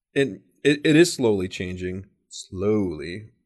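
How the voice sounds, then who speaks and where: This man has an unremarkable speaking voice, fairly low in pitch. His intonation is lively, and the background is quiet. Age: 50s. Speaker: podcast host. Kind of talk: casual interview.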